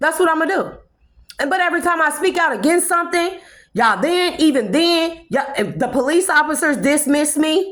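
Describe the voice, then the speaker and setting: Loud and animated, a woman speaks at an extremely high pitch with ordinary pitch variation. She moves at a fairly quick pace. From California. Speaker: spiritual vlogger. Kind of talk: impassioned monologue.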